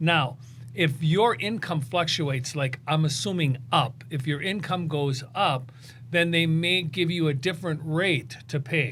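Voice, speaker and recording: Here a man speaks fairly slowly in an unremarkable speaking voice. The pitch is fairly high, with ordinary variation. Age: 60s. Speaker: podcast host. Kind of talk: podcast interview. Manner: casual.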